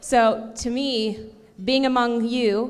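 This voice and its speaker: A woman speaks at a fairly high pitch with fairly even intonation. Room echo is audible. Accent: Canadian. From Canada, Ontario (Cambridge), Portuguese immigrant family. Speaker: event host, TV entertainment presenter. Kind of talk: closing remarks at gala. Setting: stage with audience at gala. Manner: loud.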